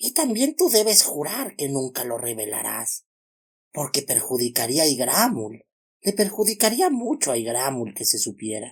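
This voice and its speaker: A man uses a hoarse, put-on character voice with a fairly high pitch, very wide pitch swings and a moderate pace. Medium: read story. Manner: refers to itself in the third person.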